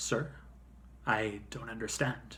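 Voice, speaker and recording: Against clear background noise, a man performs a raspy, put-on character voice. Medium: read story.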